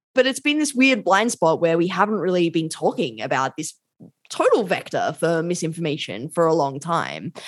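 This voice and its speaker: This woman has an Australian accent and lively intonation. She talks at a moderate pace. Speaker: law and tech policy academic. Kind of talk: interview. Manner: casual.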